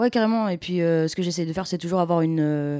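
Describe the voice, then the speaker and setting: Speaking very fast, a woman with a fairly low pitch and a dark, mellow tone comes through on a very clean recording with a silent background. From Clermont-Ferrand, France. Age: 20s. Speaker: musician. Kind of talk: interview.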